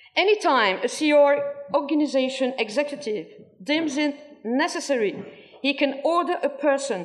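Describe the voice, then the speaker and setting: A woman speaks in a French accent. Her pitch is high and her pace fairly slow. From France. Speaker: former cult member. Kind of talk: testimony. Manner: halting.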